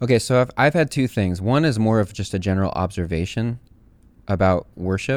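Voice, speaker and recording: A normal speaking voice: a man with an American accent, fairly low pitch, fairly quick pace and lively intonation. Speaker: podcast host and worship leader. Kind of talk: casual chat.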